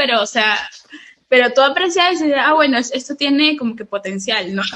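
Using a raised, projected voice, a woman speaks at a high pitch with very wide pitch swings. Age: 20s. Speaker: lettering artist and entrepreneur. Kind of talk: interview.

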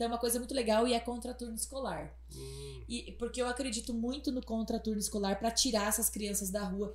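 Hardly any pauses break up the very fast delivery. Behind it, noticeable background noise can be heard. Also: woman. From Paraná, Brazil (Palmas). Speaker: political candidate. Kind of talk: interview. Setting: studio.

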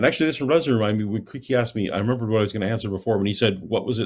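With a Canadian accent, a man speaks at a fairly low pitch with ordinary pitch variation. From Canada. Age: 50s. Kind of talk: casual chat. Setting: video call.

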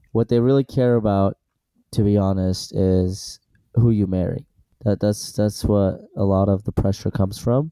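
Dark and mellow in tone, a man's fairly low voice holds very even loudness and fairly even intonation in a very clean, silent recording with a dry, close sound and no echo. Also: moderate pace. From Iran, Assyrian family; moved to US at eight. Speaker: dentist. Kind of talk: casual chat.

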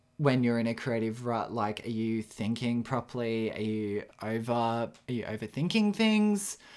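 The speaker has an Australian accent and a moderate pace, with hardly any pauses. Intonation stays fairly even. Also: man, medium pitch for a man. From Australia, rural New South Wales. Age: 20s. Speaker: podcast host and aspiring photographer. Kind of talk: solo podcast monologue. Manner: casual, with frequent fillers and self-corrections.

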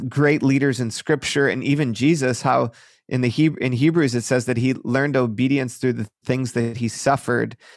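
A man with an American accent speaks at a moderate pace with fairly even intonation in an ordinary speaking voice. The recording is very clean, with a silent background. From Michigan, near Detroit. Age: 30s. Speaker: pastor. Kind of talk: interview.

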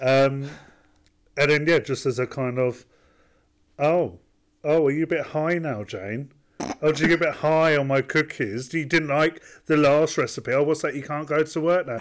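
A man speaks at a moderate pace with a fairly high pitch and ordinary pitch variation, taking long, frequent pauses. The recording is very clean, with a silent background. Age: 30s. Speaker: podcast co-host. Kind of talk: casual chat.

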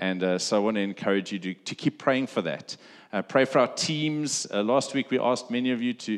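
A man is speaking. His pitch shows ordinary variation. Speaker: pastor. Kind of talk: sermon. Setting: church. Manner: loud.

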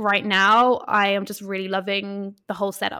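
In an Irish accent, a woman speaks with a bright, sharp tone and fairly high pitch on a very clean recording with a silent background. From Ireland. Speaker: photographer. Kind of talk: casual chat.

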